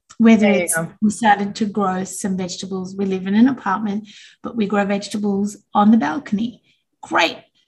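A woman talks at a moderate speed, a little breathy, her intonation fairly flat. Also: medium pitch for a woman. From Australia. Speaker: business founder. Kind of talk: interview.

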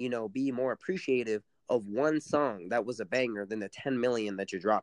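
A normal speaking voice with an American accent, lively intonation and a moderate pace, dry and close with no echo against a quiet background. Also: man. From San Antonio, Texas (west side). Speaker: rapper. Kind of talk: interview.

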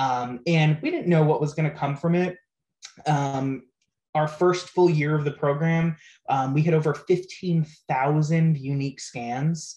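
A man's dark, mellow voice runs fairly high in pitch, at a fairly slow pace with fairly even intonation. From Rhode Island. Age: 20s. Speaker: youth prevention nonprofit director. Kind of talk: casual interview.

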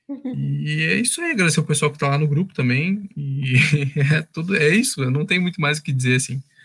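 A man's somewhat breathy, fairly high-pitched voice at a very fast pace, with ordinary pitch variation. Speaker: radio show host. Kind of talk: casual chat. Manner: halting.

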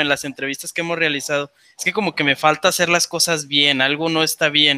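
A normal speaking voice at a fairly quick pace, dry and close with no echo. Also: man. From Mexico, La Laguna (Torreón). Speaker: podcast co-host. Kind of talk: casual interview.

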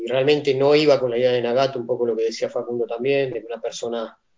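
A man speaks at a medium pitch. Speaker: martial arts instructor. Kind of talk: casual chat.

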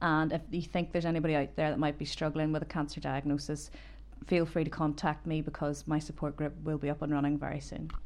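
Speaking very fast in a Northern Irish accent, a woman has a very deep, low pitch, vocal fry and monotone, flat intonation. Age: 30s. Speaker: cancer patient and Reiki master. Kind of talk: personal testimony interview. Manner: hesitant.

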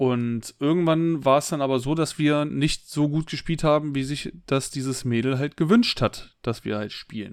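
A normal speaking voice, ordinary pitch variation, and a moderate pace, captured on a very clean recording against a silent background. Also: man, fairly high pitch for a man. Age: 30s. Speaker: podcast co-host. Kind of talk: casual chat.

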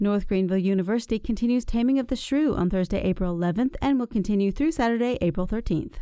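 The voice has a dark, mellow tone in an American accent. The pace is very fast. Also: woman, fairly high pitch for a woman, ordinary pitch variation. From South Carolina Upstate. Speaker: podcast host. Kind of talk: interview; scripted announcements.

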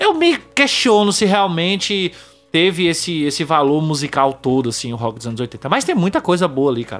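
Over music in the background, a man with a high pitch talks at a moderate pace with lively intonation. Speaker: podcast host. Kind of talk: casual chat.

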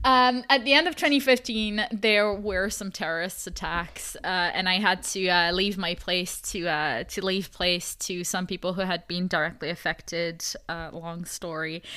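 A woman with a French accent at a medium pitch, bright, sharp tone, ordinary pitch variation, moderate pace and hardly any pauses, on a very clean recording with a silent background. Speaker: esports commentator and podcaster. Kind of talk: interview.

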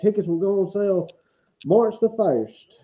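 A man's voice, dark and mellow in tone, comes with a Southern US accent. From Alabama. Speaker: football coach and podcast co-host. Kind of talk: casual chat.

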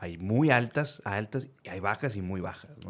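At a moderate pace, a man with an ordinary speaking voice and medium pitch talks with lively intonation on a very clean recording with a silent background. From northern Mexico, Reynosa, Tamaulipas. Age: 30s. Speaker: podcast host. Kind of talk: casual chat.

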